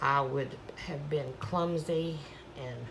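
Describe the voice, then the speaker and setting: A woman speaks quietly at a very slow pace, with audible room echo. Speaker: paint pouring artist, channel host. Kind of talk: tutorial. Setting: home studio at night. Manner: casual, chatty.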